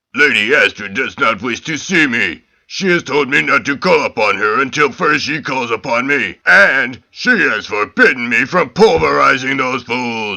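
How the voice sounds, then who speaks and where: Putting on a character voice, a man speaks at a moderate pace and medium pitch with hardly any pauses. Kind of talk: heroic declamation. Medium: audio drama. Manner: formal, grandiose.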